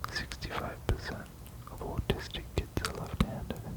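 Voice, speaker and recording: Noticeable background noise sits under a man who is whispering. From Australia. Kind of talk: ASMR fact reading. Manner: whispered.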